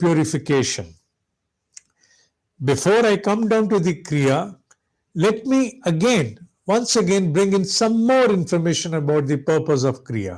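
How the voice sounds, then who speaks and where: The delivery is very slow, with lively intonation. The recording is very clean, with a silent background. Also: man. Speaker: spiritual teacher. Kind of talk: lecture.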